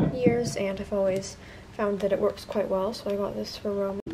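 A woman's voice over loud background noise. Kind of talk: casual haul vlog. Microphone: phone near.

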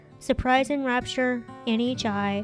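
A woman talks at a very slow pace while music plays behind her. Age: 40s. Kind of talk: poetry reading.

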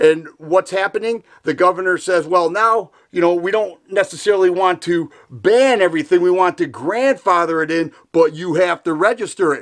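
In an American accent, a man speaks at a moderate pace with a high pitch. His pitch varies in an ordinary way over a quiet background. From Michigan. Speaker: gun YouTuber. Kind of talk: political commentary in a video, rally-support speech. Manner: earnest, fired-up, indignant. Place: home room.

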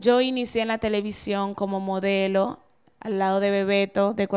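Against a quiet background, a woman with a Dominican accent speaks at a moderate pace. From Dominican Republic. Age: 30s. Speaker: TV presenter and model; TV presenter. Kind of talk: interview. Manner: halting. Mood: earnest, explaining herself. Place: office. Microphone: handheld.

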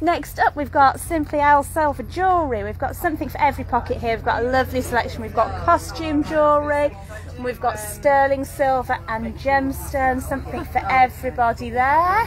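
A woman talks at a fairly quick pace with hardly any pauses, while clear music plays in the background. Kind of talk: casual walkthrough commentary. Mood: upbeat, promotional. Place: market. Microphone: phone near.

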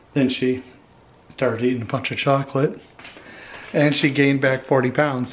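Light background noise runs under the recording. A man speaks at a moderate pace. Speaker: home vlogger. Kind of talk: casual vlog chat. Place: kitchen.

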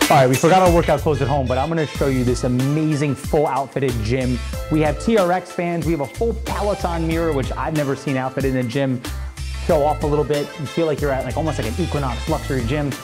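A man rattles off his words very fast while clear music plays behind him. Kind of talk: property tour presentation. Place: home room. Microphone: lapel.

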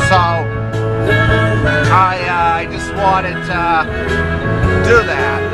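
Very slow speech in an American accent over loud music in the background. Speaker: driver on a road trip. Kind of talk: casual talk to camera while driving. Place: car. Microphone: phone near.

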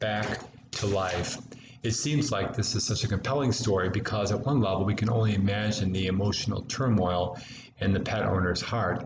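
With an American accent, a man talks at a moderate pace in a fairly low pitch, his intonation fairly even and his loudness very even, over noticeable background noise. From United States. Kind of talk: homily delivered in church. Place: home room. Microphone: webcam.

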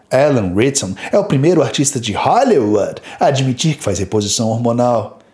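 There is audible echo in the room. A man talks at a moderate pace. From Brazil. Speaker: fitness youtuber. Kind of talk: video commentary. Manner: animated. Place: home room.

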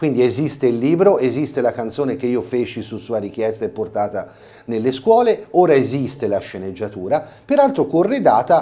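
In a dark, mellow tone, a man talks at a moderate pace with a medium pitch and ordinary pitch variation. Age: 50s. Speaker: carnival mask performer and theatre director; TV guest. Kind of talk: interview. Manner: halting. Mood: earnest, explaining. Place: studio. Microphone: lapel.

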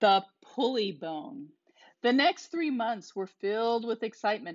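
In a quiet setting, the reading voice stays unforced and its pitch varies in an ordinary way.

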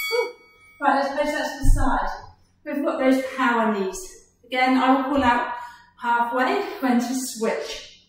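With music in the background and strong room echo, a woman with a high pitch speaks at a fairly slow pace, with long, frequent pauses and ordinary pitch variation. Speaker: fitness instructor. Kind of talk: workout instruction. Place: gym.

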